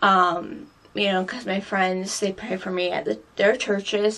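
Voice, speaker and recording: Noticeable background noise runs under a woman's voice. She speaks at a medium pitch and a moderate pace. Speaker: beauty vlogger. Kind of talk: personal vlog. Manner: halting.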